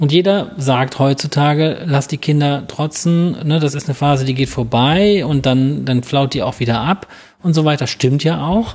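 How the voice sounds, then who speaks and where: Here a man talks at a moderate pace with ordinary pitch variation. His voice is fairly high and somewhat breathy. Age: 40s. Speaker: barefoot running coach. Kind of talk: casual interview. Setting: in person at the academy.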